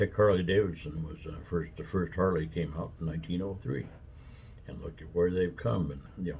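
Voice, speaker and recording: A man with a very deep, low pitch and vocal fry talks at a fairly quick pace. Room echo is audible. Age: 70s. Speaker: vlogger. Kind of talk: casual chat. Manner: rambling with fillers.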